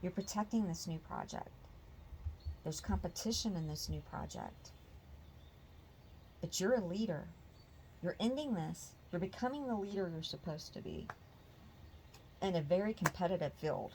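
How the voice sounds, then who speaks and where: A quiet woman at a moderate pace, with long, frequent pauses. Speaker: tarot reader. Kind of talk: tarot reading. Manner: quiet, peaceful.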